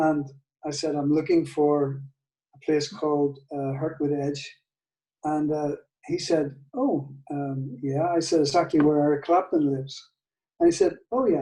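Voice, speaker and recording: A man with a Northern Irish accent, at a fairly slow pace with fairly even intonation and long, frequent pauses. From Northern Ireland. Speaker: guitar maker. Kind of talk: testimony interview. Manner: halting, with many fillers and repeats.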